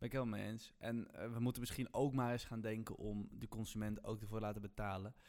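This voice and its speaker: A man talks at a very fast pace in a monotone, flat delivery, with hardly any pauses. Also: medium pitch for a man. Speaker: student podcast host. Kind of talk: casual chat.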